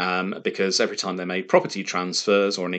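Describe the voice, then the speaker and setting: Against a quiet background, a man talks at a very fast pace. His pitch is very deep and low. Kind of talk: lecture. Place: home room. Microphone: webcam.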